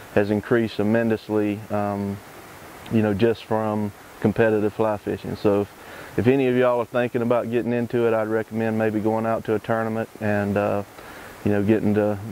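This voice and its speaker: A man's fairly low, monotone voice with flat intonation and a Southern US accent, fairly quick in pace, over noticeable background noise. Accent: Southern US (Georgia). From US South, Georgia (Lawrenceville). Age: 40s. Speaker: competitive fly fisherman. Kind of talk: interview monologue. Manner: casual, with many fillers (um, uh).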